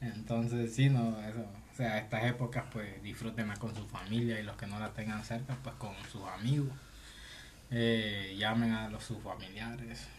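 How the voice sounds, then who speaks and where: The speech is fairly slow and monotone, with flat intonation, audible room echo and noticeable background noise. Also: man, medium pitch for a man. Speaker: podcast co-host. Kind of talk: casual chat.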